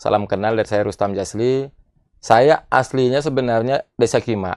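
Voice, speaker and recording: In a strong Bangka accent, a man speaks at a moderate pace with ordinary pitch variation. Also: medium pitch for a man, dry, close sound with no echo. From Bangka island, Indonesia. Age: 40s. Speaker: politician, regional head candidate. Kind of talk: interview.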